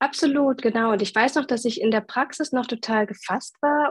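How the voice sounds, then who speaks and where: A somewhat breathy woman speaks with ordinary pitch variation in a dry, close recording with no echo. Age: 30s. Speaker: mother of two, course participant. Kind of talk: interview, personal testimony.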